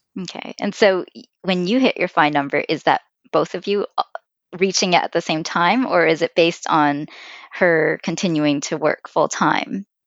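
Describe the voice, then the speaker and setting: A woman with a normal speaking voice talks at a moderate pace, her fairly low pitch moving with ordinary variation. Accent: Canadian. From Vancouver, Canada. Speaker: podcast co-host, finance blogger. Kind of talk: casual chat.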